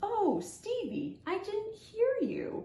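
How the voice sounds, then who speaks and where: A woman puts on a squeaky character voice at an extremely high pitch. There is a slight echo. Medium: read story. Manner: bubbly, enthusiastic.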